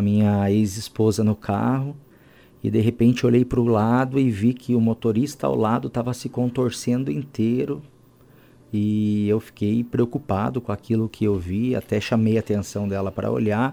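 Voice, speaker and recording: A man with a medium-pitched, dark, mellow voice talks at a moderate pace with ordinary pitch variation on a very clean recording with a silent background. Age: 30s. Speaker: biomedical professor and author. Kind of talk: interview.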